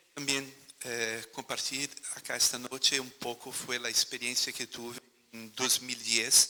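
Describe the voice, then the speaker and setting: Speaking at a fairly slow pace with monotone, flat intonation, a man of medium pitch shows big swings in loudness against noticeable background noise. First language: Portuguese (speaking Spanish). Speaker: museologist, former museum director. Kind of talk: panel talk.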